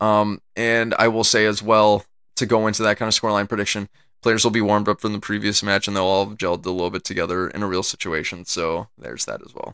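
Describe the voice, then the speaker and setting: A man with a Midwestern American accent, fairly low in pitch and bright and sharp in tone, racing at a very fast pace with big swings in loudness. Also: fairly even intonation, very clean recording, silent background. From US Midwest. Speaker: soccer podcast host. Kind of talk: podcast commentary. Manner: filler-heavy, casual.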